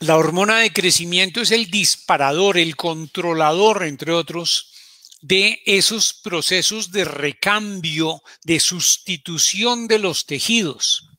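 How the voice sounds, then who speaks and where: A man's high, bright, sharp voice, very slow, with very even loudness and ordinary pitch variation. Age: 60s. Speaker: doctor giving health talks. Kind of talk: health talk. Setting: live broadcast.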